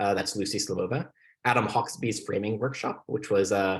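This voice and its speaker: A man with a fairly low pitch and a somewhat breathy voice talks at a fairly quick pace against a quiet background. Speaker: debate coach. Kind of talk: lecture. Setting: video call. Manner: fast.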